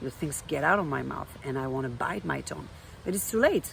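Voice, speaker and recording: A woman speaks with a French accent. Her intonation is lively. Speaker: life coach. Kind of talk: vlog monologue. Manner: hesitant, with fillers.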